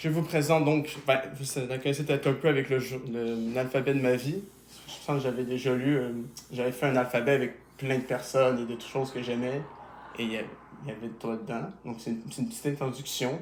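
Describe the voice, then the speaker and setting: A man of medium pitch with fairly even intonation, with audible room echo around him. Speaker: YouTuber. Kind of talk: casual interview.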